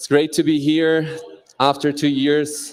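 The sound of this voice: Speaking slowly, a man with a fairly high pitch shows little pitch movement.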